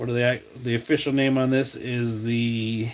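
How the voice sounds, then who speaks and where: A man with a New England accent speaks at a medium pitch in a relaxed tone. The recording is very clean, with a silent background. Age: 40s. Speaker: diecast customizer and video host. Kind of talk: casual live-stream chat showing finds. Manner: relaxed, many fillers like um and uh.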